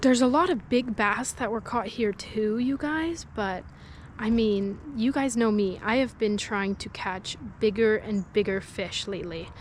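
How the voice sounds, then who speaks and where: Quietly and at a fairly slow pace, a woman with a fairly high pitch speaks with ordinary pitch variation. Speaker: fishing vlogger. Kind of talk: casual vlog chat. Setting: outdoors by a lake. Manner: talking quietly.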